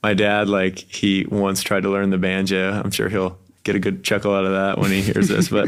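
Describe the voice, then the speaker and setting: A man with an American accent talks at a moderate pace with hardly any pauses, his fairly low voice monotone and flat at very even loudness, on a very clean recording with a silent background. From Wilmington, North Carolina. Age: 20s. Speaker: musician. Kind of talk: casual chat.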